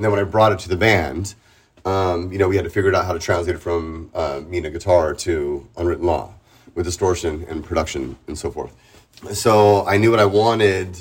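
Recorded very cleanly against a silent background, a man speaks with a very deep, low pitch and a somewhat breathy quality. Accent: American. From San Diego, California. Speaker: punk rock singer. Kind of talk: casual interview.

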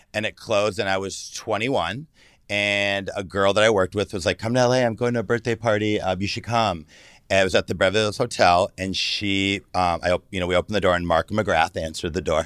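A man's fairly low, normal speaking voice with an American accent, at a fairly quick pace, with a dry, close sound and no echo. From Michigan, US Midwest. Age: 40s. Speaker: celebrity stylist. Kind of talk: casual chat.

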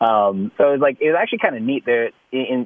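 The words come out at a very fast pace in a Canadian accent. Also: man. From Canada. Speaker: country singer and actor. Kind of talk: casual chat.

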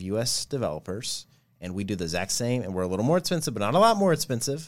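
A man's very fast speech with lively intonation on a very clean recording with a silent background. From Nashville, Tennessee. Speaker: agency founder and CEO. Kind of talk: interview. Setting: studio.

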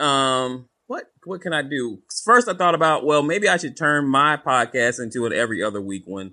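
A man with a slight Southern US accent talks at a moderate pace. His tone is upbeat and energetic, bright and sharp. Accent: Southern US, light twang. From US South. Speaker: podcast co-host, former salesman. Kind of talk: casual interview chat. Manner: upbeat, energetic, shoots from the hip.

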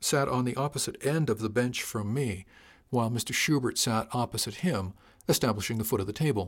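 With the usual amount of pitch movement, the voice is a natural reading voice.

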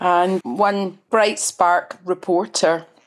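A woman speaks with a Glasgow accent. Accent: Scottish (Glaswegian). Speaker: journalist. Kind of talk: interview conversation.

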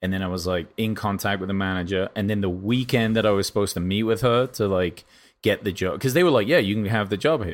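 A man with an English accent talks at a very fast pace and a fairly low pitch, with ordinary pitch variation, in a very clean recording with a silent background. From England. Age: 30s. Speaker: podcast host. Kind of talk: casual chat.

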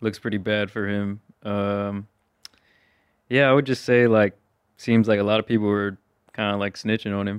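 Moderate pace, monotone, flat intonation and long, frequent pauses, in a dry, close sound with no echo. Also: man, fairly low pitch for a man. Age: 20s. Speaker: YouTuber. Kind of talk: casual chat.

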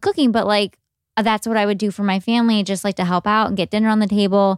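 A woman with an American accent speaks very fast at a fairly high pitch. The recording is very clean and dry, with no echo and a silent background. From US Midwest, Cleveland, Ohio. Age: 20s. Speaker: food blogger. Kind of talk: interview. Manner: casual with fillers.

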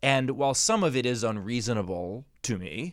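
An unremarkable speaking voice from a man, medium in pitch with lively intonation, in a very clean recording over a silent background. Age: 40s. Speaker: podcast host and comedian. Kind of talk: casual interview chat.

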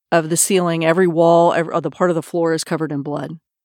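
A woman with an American accent and a fairly low pitch is heard dry and close with no echo, in a very clean recording with a silent background. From Texas, Austin. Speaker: author and podcast host. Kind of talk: casual chat; true crime storytelling.

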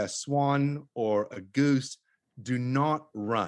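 With an Australian accent, a man talks at a medium pitch with ordinary pitch variation. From Australia (Tasmania). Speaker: author and conservationist. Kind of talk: interview conversation. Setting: remote call.

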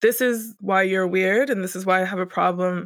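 Speaking at a fairly quick pace with a Mid-Atlantic American accent, a woman keeps her intonation fairly even on a very clean recording with a silent background. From Northern Virginia, DC area. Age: 30s. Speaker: artist and web developer. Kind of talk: interview. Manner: hesitant, with fillers.

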